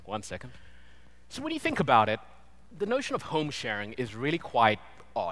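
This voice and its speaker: A man with a British accent speaks with long, frequent pauses. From Britain. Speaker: designer, conference speaker. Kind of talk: conference talk. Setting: stage with audience.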